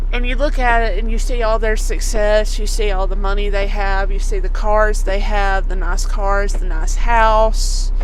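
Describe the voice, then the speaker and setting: Delivered at a moderate pace with hardly any pauses, the speech sits over noticeable background noise. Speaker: truck driver and vlogger. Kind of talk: casual Bible reflection vlog. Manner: stuttering; halting.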